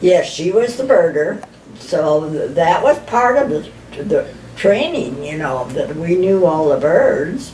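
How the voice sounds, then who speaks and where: A woman speaks at a very slow pace with very wide pitch swings against noticeable background noise. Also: medium pitch for a woman. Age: 80s+. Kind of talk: interview answer. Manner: reminiscing.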